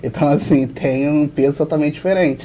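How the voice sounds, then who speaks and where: The speaker goes at a very fast pace with fairly even intonation. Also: man. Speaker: volleyball YouTuber. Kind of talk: casual sports discussion.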